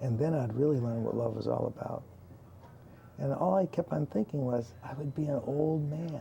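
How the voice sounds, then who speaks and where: Ordinary pitch variation runs through an unremarkable speaking voice. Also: man, fairly high pitch for a man, moderate pace. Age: 60s. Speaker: talk show co-host. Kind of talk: inspirational talk show conversation.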